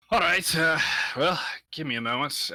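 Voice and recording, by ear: Putting on a raspy character voice, a man speaks at fairly high pitch and a moderate pace.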